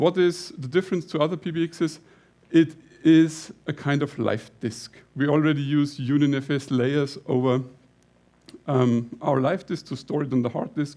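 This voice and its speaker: A man speaks in a Bavarian accent with a fairly high pitch and a dark, mellow tone. His pace is fairly slow and his intonation fairly even. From Lower Bavaria, Germany. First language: German (Lower Bavarian dialect). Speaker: company CEO presenting at a tech conference. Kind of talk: conference talk. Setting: stage with audience. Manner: halting.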